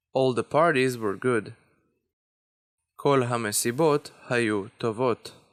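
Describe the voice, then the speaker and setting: A man with an Israeli accent speaks at a very slow pace in a medium pitch, with ordinary pitch variation and long, frequent pauses. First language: Hebrew. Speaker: language teacher. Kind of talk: tutorial.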